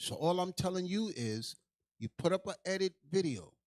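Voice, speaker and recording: Lively intonation marks a man's speech at a moderate pace. The sound is dry and close with no echo. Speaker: livestream host. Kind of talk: heated livestream rant. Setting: livestream. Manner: loud.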